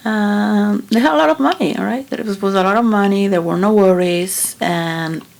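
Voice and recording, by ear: Vocal fry runs through a slightly mellow voice that moves at a moderate pace with ordinary pitch variation. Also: woman, medium pitch for a woman.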